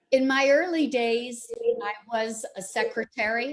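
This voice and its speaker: A woman with a Canadian accent at a very slow pace. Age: 60s. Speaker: retiree and life coach. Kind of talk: interview.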